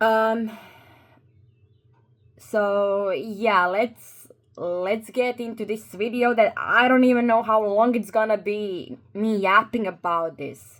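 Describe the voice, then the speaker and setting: Speaking at a very slow pace, a woman with a Croatian accent uses a fairly high pitch and ordinary pitch variation. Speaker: YouTuber. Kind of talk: commentary video. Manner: halting, with fillers and repeats.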